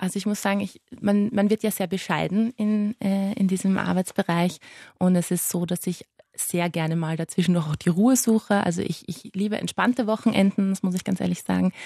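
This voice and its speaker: A woman speaks at a moderate pace with a dark, mellow tone, medium pitch and somewhat breathy delivery. Her intonation stays fairly even, and the sound is dry and close with no echo over a quiet background. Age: 20s. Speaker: pediatric palliative nurse. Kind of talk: interview.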